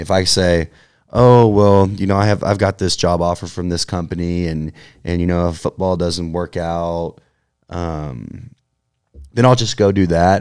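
Speaking with an American accent, a man with a very deep, low pitch keeps fairly even intonation at a moderate pace. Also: very clean recording, silent background. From Texas, Houston area (Katy). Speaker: professional football player. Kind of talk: interview. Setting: studio.

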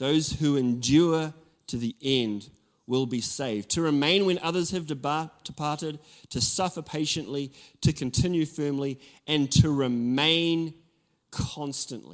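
On a very clean recording with a silent background, a man with a New Zealand accent speaks at a fairly slow pace, using a fairly high pitch and ordinary pitch variation. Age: 40s. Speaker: pastor. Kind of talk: sermon. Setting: church with congregation.

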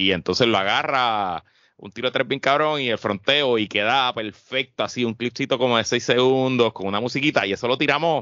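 A man talks fairly quickly at a medium pitch with ordinary pitch variation, in a plain, everyday voice. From Puerto Rico, Guaynabo. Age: 30s. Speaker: podcast co-host. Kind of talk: casual chat.

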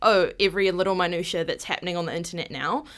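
On a very clean recording with a silent background, a woman with a New Zealand accent speaks at medium pitch with fairly even intonation. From New Zealand (Māori, urban upbringing). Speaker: rainbow community advocate. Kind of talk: casual chat.

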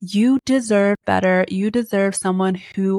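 In an ordinary speaking voice, a woman talks at a moderate pace and medium pitch, the sound dry and close with no echo. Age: 30s. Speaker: podcast host. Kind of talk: solo advice talk.

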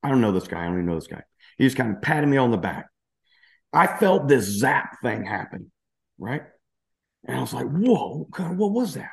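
Against a quiet background, someone with a Southern US accent talks at a fairly quick pace, using very wide pitch swings, vocal fry, and long, frequent pauses. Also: man, medium pitch for a man. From Louisiana, US South. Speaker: cancer survivor and entrepreneur. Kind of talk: testimony.

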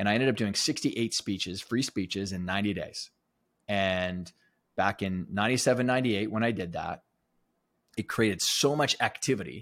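With a Western Canadian accent, the speaker talks at a fairly quick pace with ordinary pitch variation on a very clean recording with a silent background. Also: man, fairly low pitch for a man. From Alberta, Canada. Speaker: performance coach and author. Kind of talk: interview conversation.

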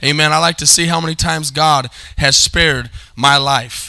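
At a moderate pace, a man with a fairly high pitch speaks in a bright, sharp tone with vocal fry and fairly even intonation.

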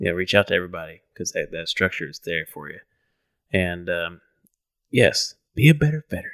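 Speaking at a fairly quick pace, a man shows big swings in loudness and long, frequent pauses, in a dry, close sound with no echo. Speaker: podcast co-host. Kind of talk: casual interview.

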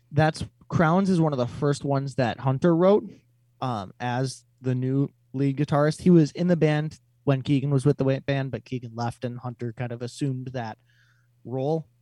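The sound is dry and close with no echo as a man with an Upper Midwest accent speaks in a dark, mellow tone at a medium pitch with ordinary pitch variation. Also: moderate pace. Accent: Upper Midwest American. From Wisconsin, Fond du Lac. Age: 20s. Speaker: metal musician. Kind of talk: casual chat. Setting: remote call.

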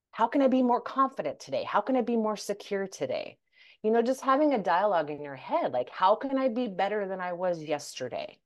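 A woman with an American accent speaks at a fairly quick pace, her pitch swinging very widely. The background is quiet. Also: fairly high pitch for a woman. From United States. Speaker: life coach. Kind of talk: casual interview. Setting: remote call. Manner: animated.

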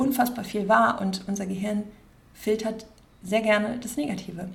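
At a medium pitch and moderate pace, a woman speaks with fairly even intonation, and audible room echo is present. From Germany, Cologne area (Rhineland). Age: 30s. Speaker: podcast host, life coach. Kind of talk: casual monologue. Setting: at her desk.

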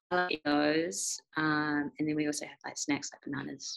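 The speaker has a New Zealand accent. The sound is dry and close, with no echo. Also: woman. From New Zealand, Christchurch. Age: 20s. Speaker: professional cricketer. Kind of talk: casual interview.

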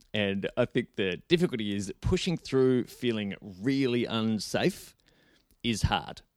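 Delivered at a fairly slow pace with lively intonation, a normal speaking voice comes through with a dry, close sound with no echo on a very clean recording against a silent background. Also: man, medium pitch for a man. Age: 40s. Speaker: on-camera presentation coach. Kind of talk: casual interview.

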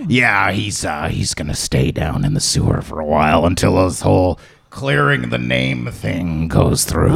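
A man performs a put-on character voice. It is raspy and pitched very deep and low. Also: moderate pace. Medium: actual play. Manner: casual, rambling.

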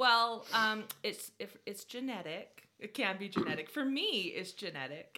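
Speaking with an American accent, a woman with a fairly high pitch and bright, sharp tone talks at a fairly slow pace with lively intonation and hardly any pauses. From Utah. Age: 30s. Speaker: podcast co-host. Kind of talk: casual chat. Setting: at her mother's house.

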